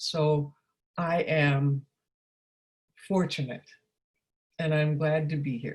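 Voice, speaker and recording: Very slow and broken by long, frequent pauses, a woman's somewhat breathy voice sits at a very deep, low pitch with monotone, flat intonation. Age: 80s+. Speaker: counselor and trainer. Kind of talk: workshop talk. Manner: hesitant, with many fillers.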